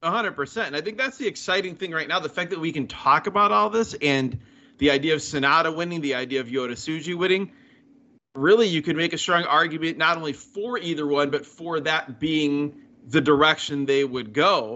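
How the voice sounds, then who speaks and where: A plain, everyday voice from a man, fairly high in pitch, with lively intonation and a fairly quick pace. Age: 40s. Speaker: podcast co-host. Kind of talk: casual chat.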